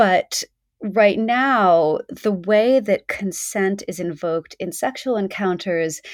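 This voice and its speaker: The recording is dry and close with no echo. A woman speaks in a medium-pitched voice with lively intonation. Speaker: podcast host. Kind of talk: casual interview chat.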